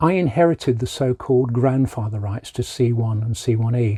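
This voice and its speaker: Somewhat breathy and dark, mellow in tone, a man speaks at a medium pitch with ordinary pitch variation in a dry, close sound with no echo. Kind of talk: informational talk to camera.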